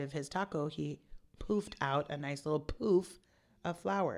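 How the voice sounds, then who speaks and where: A woman's very deep, low voice comes through on a very clean recording with a silent background. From Texas, San Antonio. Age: 30s. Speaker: stand-up comedian. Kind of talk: casual chat.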